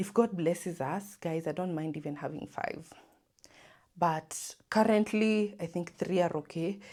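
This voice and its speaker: A woman with a dark, mellow tone talks at a fairly slow pace in a very clean recording with a silent background. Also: fairly low pitch for a woman, ordinary pitch variation. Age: 20s. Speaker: lifestyle vlogger. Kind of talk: casual Q&A chat. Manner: animated.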